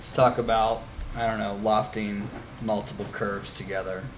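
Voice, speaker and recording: A man with a fairly low voice speaks at a fairly slow pace and with fairly even intonation, over noticeable background noise and audible room echo. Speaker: instructor. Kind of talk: live classroom software tutorial. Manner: casual, hesitant with fillers.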